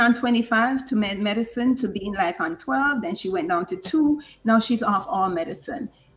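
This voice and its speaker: A woman with a fairly high pitch speaks somewhat breathily at a fairly slow pace. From Jamaica. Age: 50s. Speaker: nurse and diabetes coach. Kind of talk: interview.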